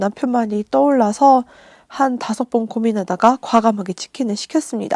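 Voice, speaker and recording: In a quiet setting, a woman's dark, mellow voice moves at a moderate pace. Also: dry, close sound with no echo. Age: 30s. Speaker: vlogger. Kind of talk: vlog voiceover narration.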